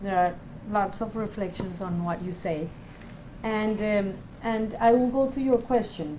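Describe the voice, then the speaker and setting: A woman talks at a very slow pace and a fairly high pitch with ordinary pitch variation. Audible room echo surrounds her voice. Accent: non-native. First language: not English. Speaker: panelist, peacebuilding organization. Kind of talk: panel discussion. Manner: halting, many fillers.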